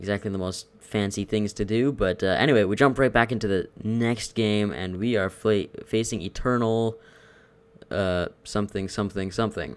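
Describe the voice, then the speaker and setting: A man's fairly low voice carries fairly even intonation, delivered at a moderate pace. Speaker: gaming commentator. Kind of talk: video game commentary. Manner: casual.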